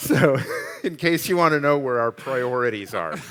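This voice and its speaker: Background noise is plain to hear as a man talks at a mid-range pitch that varies in an ordinary way. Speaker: architect and designer, professor. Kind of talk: panel Q&A on stage.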